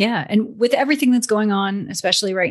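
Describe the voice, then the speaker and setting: Against a quiet background, a woman speaks somewhat breathily with ordinary pitch variation. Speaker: podcast host. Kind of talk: interview.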